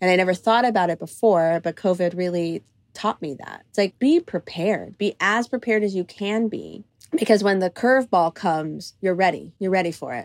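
Medium in pitch and fairly quick, a woman speaks in a plain, everyday voice with ordinary pitch variation, in a very clean recording with a silent background and a dry, close sound with no echo. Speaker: choreographer and director. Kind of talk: interview conversation.

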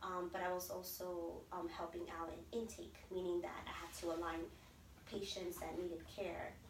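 Noticeable background noise accompanies a woman who keeps a moderate pace. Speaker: DACA recipient and pastor. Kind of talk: interview. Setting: in person.

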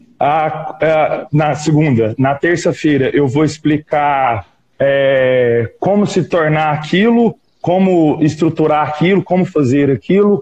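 Speaking very slowly at a fairly high pitch, a man keeps his loudness very even while his pitch varies in an ordinary way. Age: 20s. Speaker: small business owner. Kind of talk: casual chat.

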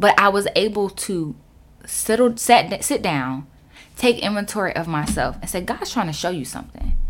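Animated in tone, a woman with a medium-pitched voice uses lively intonation in a very clean recording with a silent background. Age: 20s. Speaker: podcast host. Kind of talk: casual monologue.

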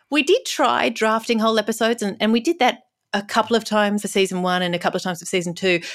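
A woman with an Australian accent, fairly high in pitch, at a very fast pace with ordinary pitch variation, in a very clean recording over a silent background. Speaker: TV writer and actress. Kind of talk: interview.

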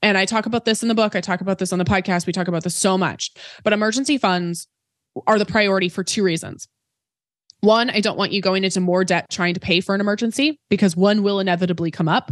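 A woman at a medium pitch talking at a very fast pace with ordinary pitch variation, dry and close with no echo, over a quiet background. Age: 20s. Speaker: personal finance educator and author. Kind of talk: interview.

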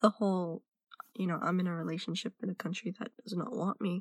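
A woman's medium-pitched voice with an American accent and vocal fry, dry and close with no echo, on a very clean recording against a silent background. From United States. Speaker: listener sending voice message. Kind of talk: recorded personal testimony.

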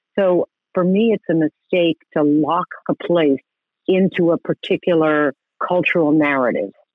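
Speaking with an American accent in a normal speaking voice, a woman holds a moderate pace, a fairly low pitch and very even loudness. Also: ordinary pitch variation. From New York City. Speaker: landscape architect. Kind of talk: interview.

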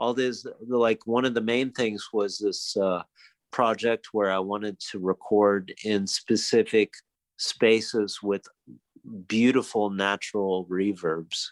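Recorded with a dry, close sound and no echo, a man talks at a very slow pace with an American accent. His pitch is fairly low and his intonation fairly even. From United States, raised moving around in a military family. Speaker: guitarist. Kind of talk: casual interview chat. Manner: halting, many fillers.

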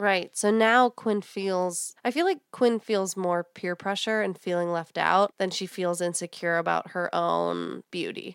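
A woman's medium-pitched, fairly even voice, an ordinary speaking voice, at a fairly slow pace with hardly any pauses, dry and close with no echo, on a very clean recording with a silent background. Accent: American. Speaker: podcast host. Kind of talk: casual chat.

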